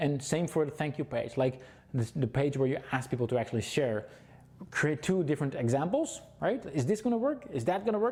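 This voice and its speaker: This man talks at a fairly quick pace with a fairly high pitch and lively intonation. His voice is somewhat breathy, and his loudness stays very even. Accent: Dutch. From Netherlands. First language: Dutch. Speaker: webinar presenter. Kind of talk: sales pitch. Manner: fast; halting.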